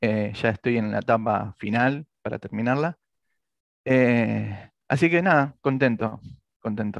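A man with an Argentine accent talks at a fairly slow pace with ordinary pitch variation, the sound dry with no echo against a quiet background. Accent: Rioplatense Argentine Spanish. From Argentina, Santa Fe (near Rosario), then Buenos Aires; Santa Fe, Argentina. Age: 40s. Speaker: comic artist and illustrator; comic artist. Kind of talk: interview. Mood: relaxed, storytelling. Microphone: video call.

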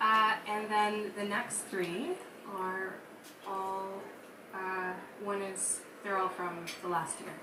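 Against noticeable background noise, a woman speaks very slowly with monotone, flat intonation. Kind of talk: stage banter between songs. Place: cafe. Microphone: camera far.

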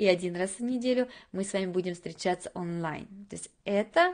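A woman talks at a moderate pace with fairly even intonation against a quiet background. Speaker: English teacher. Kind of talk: webinar presentation. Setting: live webinar. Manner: soft-spoken. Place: home room. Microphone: webcam.

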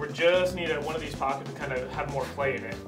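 Clear music plays behind the voice. A man speaks fairly quickly over it. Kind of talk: casual explanation.

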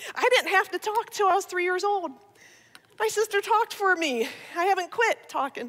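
A woman with an American accent talks at a moderate pace. Her extremely high pitch carries lively intonation. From Ohio. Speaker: speaker, comedian. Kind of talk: testimony talk to church audience. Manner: animated. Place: church. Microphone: headset.

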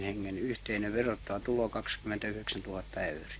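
A man speaks in a monotone with flat intonation and a fairly low pitch. The sound is dry with no echo, over light background noise. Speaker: berry farmer. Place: garden. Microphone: old recording.

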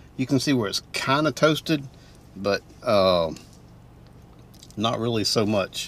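The sound is dry with no echo as a man speaks at a moderate pace with ordinary pitch variation. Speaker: food reviewer. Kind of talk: casual vlog chat. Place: car.

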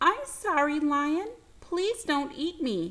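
A woman speaks in a put-on character voice, squeaky and high-pitched. She talks at a very slow pace. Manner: pleading.

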